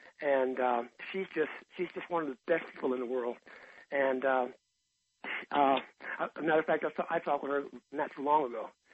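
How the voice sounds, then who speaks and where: The delivery is at a fairly quick pace with long, frequent pauses and fairly even intonation. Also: man, fairly high pitch for a man. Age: 60s. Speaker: guitarist. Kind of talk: interview. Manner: halting, many fillers.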